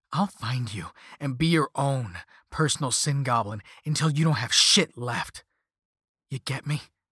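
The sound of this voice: Putting on a character voice, a man delivers lively intonation at a fairly slow pace with a bright, sharp tone, a slightly husky edge, and a dry, close sound with no echo. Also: medium pitch for a man, very clean recording, silent background.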